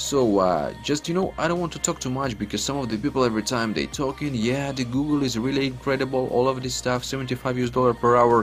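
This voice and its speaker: Over noticeable background noise, a man with a medium-pitched voice speaks very fast in an energetic tone, with hardly any pauses and ordinary pitch variation. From Ukraine. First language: Ukrainian. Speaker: online money-making YouTuber. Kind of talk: screen-recording tutorial. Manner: casual, energetic.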